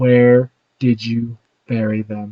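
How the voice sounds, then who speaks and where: A man puts on a character voice at a medium pitch. His intonation stays monotone and flat. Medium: actual play. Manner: close, pressing.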